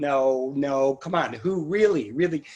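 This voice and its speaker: A man speaks with a fairly high pitch. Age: 60s. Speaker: museum executive director. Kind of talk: casual interview. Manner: halting.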